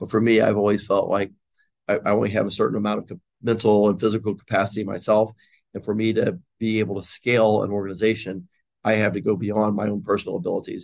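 Very fast and monotone, a man speaks with flat intonation at a fairly low pitch. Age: 60s. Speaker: university president and businessman. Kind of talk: interview. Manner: halting with frequent repetitions.

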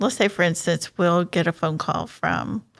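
Vocal fry runs through this American-accented voice at a fairly slow pace. The recording is very clean, with a silent background. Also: woman. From Houston, Texas. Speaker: charity coordinator. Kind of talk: casual interview.

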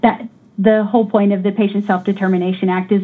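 This woman has a medium pitch and speaks with an American accent. Her tone is dark and mellow, and somewhat breathy. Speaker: niece of Nancy Cruzan, hospital worker.

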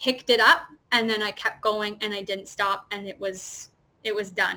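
Her bubbly, animated tone comes at a fairly high pitch as this woman talks at a moderate pace. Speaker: theater performer. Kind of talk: casual interview. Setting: video call.

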